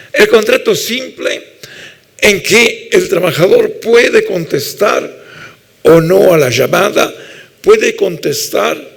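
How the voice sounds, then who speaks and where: A man speaks at an extremely high pitch with very wide pitch swings. His pace is very slow. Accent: Italian. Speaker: labour law professor. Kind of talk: lecture.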